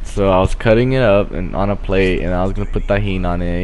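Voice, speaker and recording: Over music in the background, a man talks at a very fast pace. His intonation is monotone and flat, and room echo is audible. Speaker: gaming commentator. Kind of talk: casual gameplay commentary. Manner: stutters; halting.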